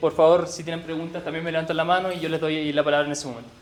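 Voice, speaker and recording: A man with a Chilean accent speaks very fast at a high pitch. His intonation is fairly even, and there is noticeable background noise. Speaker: researcher presenting at a workshop. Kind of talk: presentation. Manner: halting with self-corrections.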